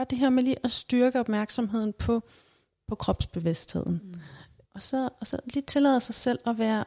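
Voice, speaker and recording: Here a woman speaks with a dark, mellow tone and a fairly high pitch. Her pace is moderate, and the recording is very clean with a silent background. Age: 30s. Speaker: psychologist. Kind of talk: casual interview. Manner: halting, many fillers.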